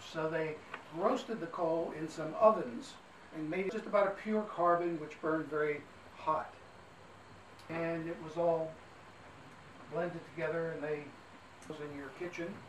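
Over noticeable background noise, a man speaks at a fairly slow pace with long, frequent pauses. His high pitch has ordinary variation, and his loudness swings widely. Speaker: trolley guide. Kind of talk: tour guide commentary. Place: train. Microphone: camera far.

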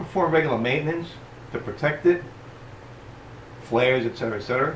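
Audible room echo and light background noise surround a man speaking at a fairly quick pace with ordinary pitch variation. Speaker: boating channel host. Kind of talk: tutorial. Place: workshop. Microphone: camera far.

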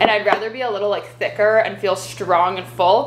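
A woman talks at a fairly quick pace, her pitch varying in an ordinary way, with light background noise present. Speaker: fitness vlogger. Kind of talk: casual vlog chat. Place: kitchen. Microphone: camera far.

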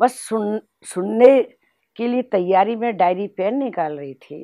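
A woman speaks with a dark, mellow tone at a very slow pace. The background is quiet. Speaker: spiritual teacher and regional head of a spiritual organisation; spiritual teacher. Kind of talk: spiritual testimony. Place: home room.

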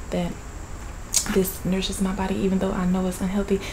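A woman speaks in a flat monotone. Noticeable background noise runs underneath. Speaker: mukbang vlogger. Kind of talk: casual vlog chat. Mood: playful, joking. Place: home room. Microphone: phone near.

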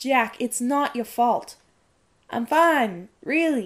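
A woman's put-on character voice, slow-paced with lively intonation. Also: fairly high pitch for a woman.

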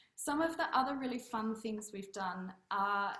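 Amid audible room echo, a woman with an Australian accent talks at a moderate pace, her fairly high voice full of lively intonation. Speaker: piano teacher. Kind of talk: short presentation. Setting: video call. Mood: warm, enthusiastic. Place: home room. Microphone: webcam.

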